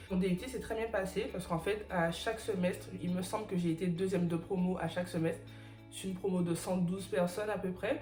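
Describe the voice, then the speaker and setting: A woman at a very fast pace, her intonation fairly even, with music in the background. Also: medium pitch for a woman. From Guadeloupe / Martinique, French Caribbean. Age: 20s. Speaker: chemical engineer. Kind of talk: casual talk to camera.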